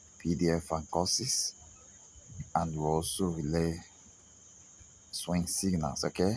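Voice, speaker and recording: A man speaks in a very deep, low voice. He has a non-native accent and fairly even intonation. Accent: non-native English accent, noticeable. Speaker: trading signal provider. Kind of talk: sales pitch. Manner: halting, many fillers.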